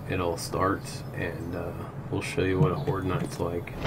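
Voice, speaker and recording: Speaking at a fairly slow pace with lively intonation, a man is heard through noticeable background noise and audible room echo. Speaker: gaming streamer. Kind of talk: gameplay commentary. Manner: casual; loud.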